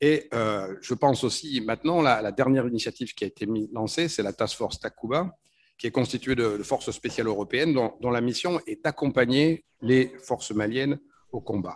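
A man talks at a moderate pace. His pitch varies in an ordinary way. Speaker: speaker. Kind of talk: conference panel talk. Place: hall. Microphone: podium.

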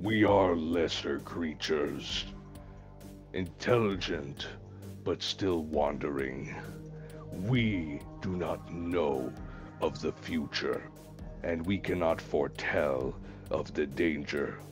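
Over clear music in the background, a man uses a put-on character voice with a very deep, low pitch at a very slow pace. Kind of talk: grave, formal in-character speech. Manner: measured, philosophical.

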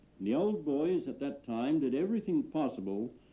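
The man's voice sits fairly high, with very wide pitch swings. He keeps a moderate pace. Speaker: film narrator. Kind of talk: scripted archival film narration. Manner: measured, formal, dry-humoured.

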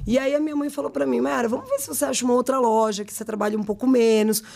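A woman speaks against a quiet background. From Brazil, São Bernardo (São Paulo area). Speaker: fashion brand owner and designer. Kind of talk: interview, casual chat. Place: studio. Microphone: studio mic.

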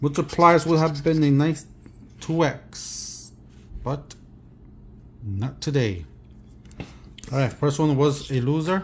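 The speech moves at a very slow pace with long, frequent pauses and ordinary pitch variation. The voice is somewhat breathy, with light background noise behind it. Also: man. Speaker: lottery scratch-ticket youtuber. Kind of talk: bingo caller reading out numbers. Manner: hopeful, chatty. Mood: calm, mildly hopeful. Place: home room. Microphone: phone near.

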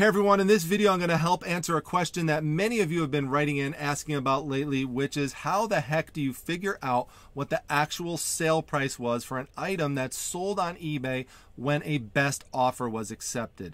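Fairly quick and with ordinary pitch variation, a man talks in a dry sound with no echo. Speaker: online reseller channel host. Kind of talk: tutorial. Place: home room.

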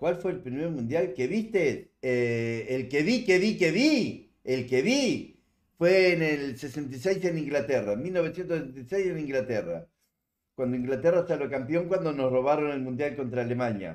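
A man with a Uruguayan accent speaks at a fairly slow pace, his pitch fairly high and his intonation lively, over a quiet background. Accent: Uruguayan Spanish (rioplatense). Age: 70s. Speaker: livestreamer. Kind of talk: casual chat. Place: home room.

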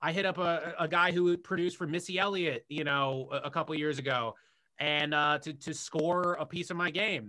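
A high-pitched man with an American accent, bright, sharp tone, moderate pace and fairly even intonation over a quiet background. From US, Washington D.C. area. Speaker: director and YouTuber; podcast guest. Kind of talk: casual interview conversation. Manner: halting, many fillers and repetitions. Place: home room. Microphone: video call.

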